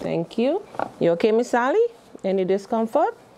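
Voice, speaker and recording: Light background noise sits beneath a woman talking at a moderate pace. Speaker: caregiver instructor. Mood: calm, reassuring. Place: classroom.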